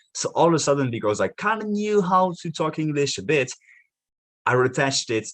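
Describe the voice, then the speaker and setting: Over a quiet background, a man with a French accent talks at a fairly quick pace, his tone energetic and his intonation lively. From France. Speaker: marketing podcast host. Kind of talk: live video monologue.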